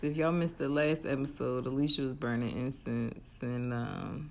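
A woman's very deep, low pitch at a moderate pace. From Arkansas. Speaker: podcast co-host. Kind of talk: casual chat. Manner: animated.

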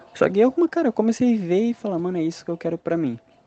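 Very fast talking from a man, with noticeable background noise. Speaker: listener, aspiring comedian. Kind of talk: voice message.

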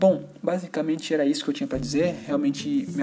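Amid noticeable background noise, a man with a fairly high pitch swings very widely up and down. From Brazil, São Paulo. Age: 30s. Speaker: gaming podcast host. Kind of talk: casual solo podcast talk.

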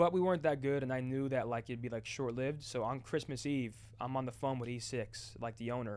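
With an American accent, a man talks in a normal speaking voice at medium pitch and a fairly quick pace, with hardly any pauses. His intonation is fairly even, and the recording is very clean against a silent background. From New Jersey. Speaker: retired esports player and content creator. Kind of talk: casual chat. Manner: fast, repetitive false starts.

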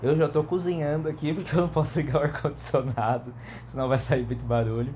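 A man's somewhat breathy, dark, mellow voice at a fairly quick pace with ordinary pitch variation. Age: 30s. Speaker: podcast host. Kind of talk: casual chat.

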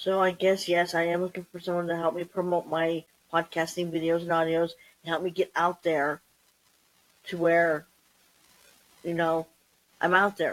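Slow to fill her long, frequent pauses, a woman speaks at a moderate pace with a fairly low pitch and a monotone, flat intonation. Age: 50s. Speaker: solo podcaster. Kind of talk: casual monologue. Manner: hesitant, many ums.

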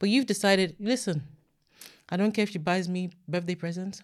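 A woman talks at a very fast pace in an animated tone. The recording is very clean, with a silent background. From Nigeria. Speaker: podcast co-host. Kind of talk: casual chat.

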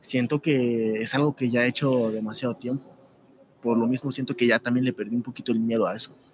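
Noticeable background noise sits behind this man's voice. His intonation stays fairly even. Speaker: YouTube narrator. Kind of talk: casual interview.

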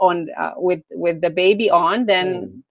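A woman's medium-pitched voice with a Romanian accent over a quiet background. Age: 20s. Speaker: entrepreneur. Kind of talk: interview.

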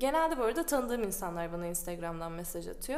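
Talking at a very fast pace, a woman's voice moves through very wide pitch swings. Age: 20s. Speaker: designer. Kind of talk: casual chat.

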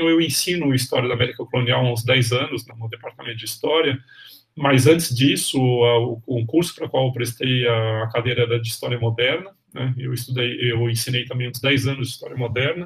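Somewhat breathy and fairly quick, a man's medium-pitched voice keeps a fairly even intonation while making big swings in loudness. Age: 60s. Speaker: history professor. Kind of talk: interview. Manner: halting.

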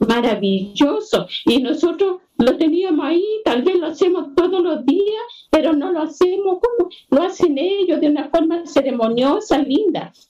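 Lively intonation marks a woman's high-pitched voice as she speaks at a fairly slow pace. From Chile, Combarbalá. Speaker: seed keeper and artisan. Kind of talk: video call conversation panel.

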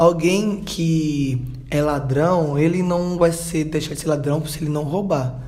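Noticeable background noise and audible room echo surround a man speaking at a very slow pace, his pitch fairly high and his intonation fairly even. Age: 20s. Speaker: church youth group leader. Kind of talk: casual discussion podcast.

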